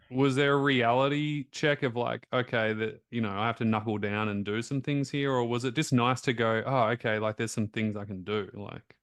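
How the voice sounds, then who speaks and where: Against a quiet background, a man with an Australian accent talks at a moderate pace with hardly any pauses, holding a medium pitch and fairly even intonation. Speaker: health coach and interviewer. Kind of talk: interview conversation.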